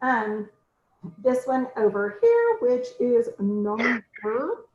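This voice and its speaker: Ordinary pitch variation marks a woman's high-pitched voice. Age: 50s. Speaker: makeup consultant. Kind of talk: tutorial.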